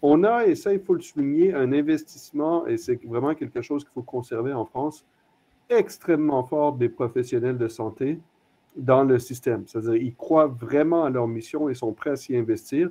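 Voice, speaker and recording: With a non-native accent, a man with a fairly high pitch speaks at a moderate pace, showing ordinary pitch variation and big swings in loudness. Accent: non-French accent, noticeable. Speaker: hospital executive, panelist. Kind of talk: panel discussion. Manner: hesitant, many fillers.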